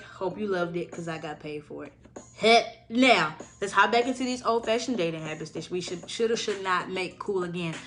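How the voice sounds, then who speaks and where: Music plays in the background under an animated tone. Loudness swings widely while pitch variation stays ordinary. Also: woman. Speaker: podcast host. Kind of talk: casual chat.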